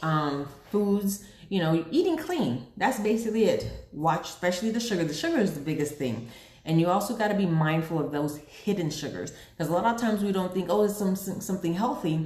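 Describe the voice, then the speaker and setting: Intonation is lively and the pace fairly quick. Room echo is audible. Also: woman. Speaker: online seller of weight-loss products. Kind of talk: live sales pitch. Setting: live video stream. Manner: fast when nervous or excited.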